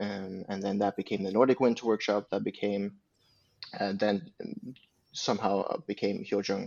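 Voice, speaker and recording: A man with a Swedish accent, fairly low in pitch, at a moderate pace. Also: fairly even intonation. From Sweden, Uppsala. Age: 20s. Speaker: religious community leader. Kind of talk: casual chat.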